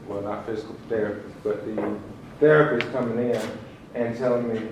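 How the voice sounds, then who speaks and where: A man talks with a Southern US accent and ordinary pitch variation. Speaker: professional storyteller / speaker competing in a speaking competition. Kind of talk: personal storytelling stage talk about a mental health crisis.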